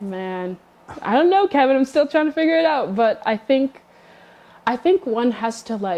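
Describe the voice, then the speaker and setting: A woman speaks at a moderate pace in a high voice, her pitch swinging very widely. Background noise is noticeable. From Canada, Toronto (came from Congo at about five). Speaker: community member sharing immigrant story. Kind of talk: interview.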